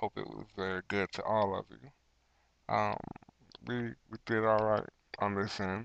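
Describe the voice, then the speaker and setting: A man talks at a fairly low pitch and a fairly slow pace. His intonation stays flat and monotone. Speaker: podcast host. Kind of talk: casual chat.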